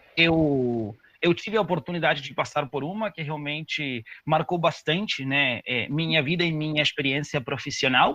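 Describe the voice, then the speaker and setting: Over noticeable background noise, a man with a Spanish accent speaks at a moderate pace, his fairly high voice showing ordinary pitch variation. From Uruguay. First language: Spanish (speaking Portuguese). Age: 30s. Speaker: corporate diversity manager. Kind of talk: webinar presentation. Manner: casual, hesitant with fillers.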